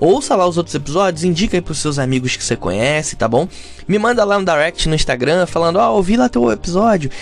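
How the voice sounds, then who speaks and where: Over noticeable background noise, a man with a high pitch talks at a very fast pace, his pitch swinging very widely. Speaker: podcaster. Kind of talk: casual chat. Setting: home recording.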